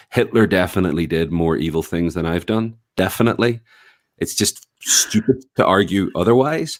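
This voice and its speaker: Very deep and low in pitch, a man speaks at a moderate pace with lively intonation. The recording is very clean, with a silent background. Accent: Northern Irish. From Northern Ireland, Belfast. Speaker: writer and activist. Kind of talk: podcast interview.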